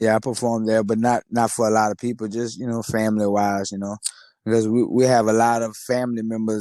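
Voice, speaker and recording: A man with a Louisiana accent, dark and mellow in tone, monotone and flat, at a fairly quick pace. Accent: country Louisiana. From Louisiana, Lafayette (north side). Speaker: rapper. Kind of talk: interview. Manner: casual.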